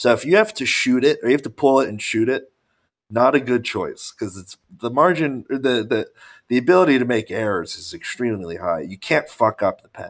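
An unremarkable speaking voice from a man at medium pitch, fairly quick, with lively intonation and big swings in loudness, on a very clean recording with a silent background. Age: 20s. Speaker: podcast co-host, bodybuilder. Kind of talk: casual chat.

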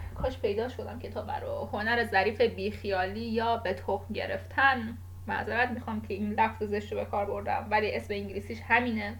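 The woman talks at a moderate pace. Audible echo fills the room. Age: 20s. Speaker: podcast host. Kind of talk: casual monologue. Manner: halting.

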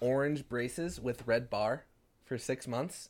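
A normal speaking voice from a man at medium pitch, a fairly slow pace and ordinary pitch variation, on a very clean recording with a silent background. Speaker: podcast host. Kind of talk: casual banter. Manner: joking, laughs a lot.

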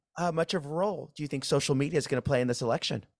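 An ordinary speaking voice from a man at a fairly high pitch, with ordinary pitch variation, in a very clean recording with a silent background and a dry, close sound with no echo. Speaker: labor podcast host. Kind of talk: interview.

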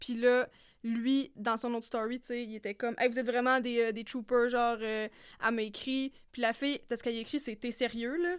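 A woman with a Quebec accent talks at a fairly quick pace in a high pitch, her intonation fairly even while her loudness swings widely. The recording is very clean, with a silent background. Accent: Québécois French. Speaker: podcast co-host. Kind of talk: casual chat. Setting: studio.

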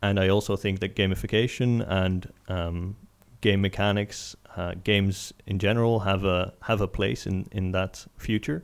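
A normal speaking voice from a man, fairly low in pitch, at a fairly slow pace with fairly even intonation. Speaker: podcast host. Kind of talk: casual interview chat.

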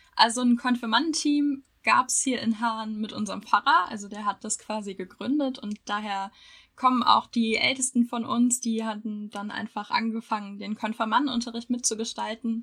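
Her voice bright and sharp in tone, a woman speaks at a moderate pace with a fairly high pitch, fairly even intonation and big swings in loudness. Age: 20s. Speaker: university student, podcast co-host. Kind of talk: casual chat.

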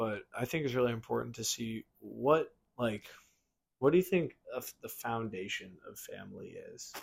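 An unremarkable speaking voice, this man talks at a medium pitch and a moderate pace. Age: 20s. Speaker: podcast host. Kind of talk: casual chat.

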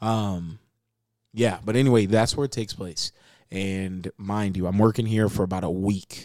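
A man with an American accent and a dark, mellow tone speaks at a moderate pace on a very clean recording with a silent background. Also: fairly low pitch for a man. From Las Vegas, Nevada, US. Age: 20s. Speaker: podcast co-host. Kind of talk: casual chat. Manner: animated.

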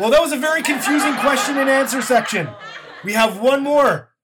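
There is crowd noise in the background as a man speaks. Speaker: game show host. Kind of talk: mock game show hosting, comedic scripted banter. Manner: brisk, hammy announcer patter with tongue-in-cheek asides.

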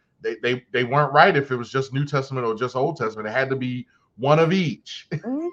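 A man at a very fast pace, fairly high pitch and animated tone. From Baltimore, Maryland. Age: 40s. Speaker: podcast host. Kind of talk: casual chat. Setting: studio.

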